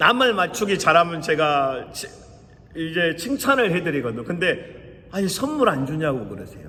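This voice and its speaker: A man speaks in a raised, projected voice. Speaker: pastor. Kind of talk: sermon.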